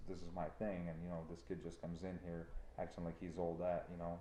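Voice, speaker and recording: Amid audible room echo, a man talks at a very fast pace with a very deep, low pitch and a dark, mellow tone. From Ukraine. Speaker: trucking company owner. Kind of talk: casual chat. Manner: animated.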